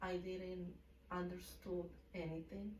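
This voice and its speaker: A woman's medium-pitched voice in a Mexican accent, with audible room echo. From Mexico City. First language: Spanish. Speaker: hair salon owner. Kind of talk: casual interview. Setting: livestream.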